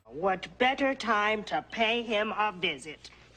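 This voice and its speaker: A put-on character voice, pitched fairly high and delivered at a fairly slow pace. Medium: voice reel. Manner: riddling, old-fashioned phrasing.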